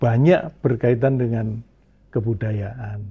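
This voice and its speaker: A man speaking fairly slowly, somewhat breathy, with fairly even intonation. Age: 70s. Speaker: cultural figure and educator. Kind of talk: interview.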